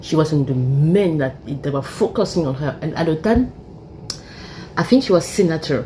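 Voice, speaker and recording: Noticeable background noise sits behind this speaker. She is a woman with a very deep, low pitch. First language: French. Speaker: YouTuber. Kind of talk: casual monologue commentary. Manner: halting.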